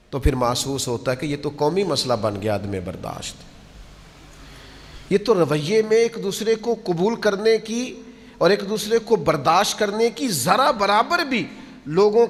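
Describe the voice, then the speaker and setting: This man speaks at a high pitch with lively intonation. Noticeable background noise runs behind him. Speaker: Islamic preacher. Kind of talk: religious sermon (bayan). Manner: emotional, admonishing, preacher-like delivery.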